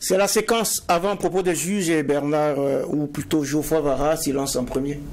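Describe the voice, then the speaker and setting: In an ordinary speaking voice, a man talks at a moderate pace with a fairly high pitch, ordinary pitch variation, very even loudness, and hardly any pauses. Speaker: TV show host. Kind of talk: moderated TV debate. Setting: studio. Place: studio. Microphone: lapel.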